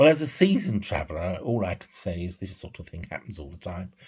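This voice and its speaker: A man's very deep, low voice comes through somewhat breathy in a very clean recording with a silent background. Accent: British. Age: 60s. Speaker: vlogger. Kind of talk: personal vlog monologue.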